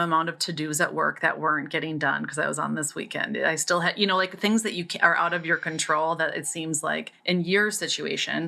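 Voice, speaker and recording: A woman's fairly low, fairly even voice at a fairly quick pace, with noticeable background noise. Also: hardly any pauses. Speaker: podcast co-host and coach. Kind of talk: casual chat.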